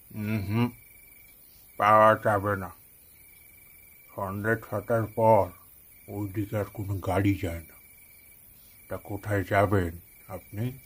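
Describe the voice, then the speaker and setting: A gruff put-on character voice from a man, fairly low and monotone, flat, at a fairly slow pace, on a very clean recording with a silent background. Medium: cartoon. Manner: gruff, curt.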